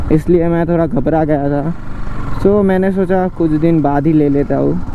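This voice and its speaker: A man speaks at a high pitch and a fairly slow pace. The sound is dry with no echo, over light background noise. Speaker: motorbike vlogger. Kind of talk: casual vlog chat. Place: motorbike. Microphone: lapel.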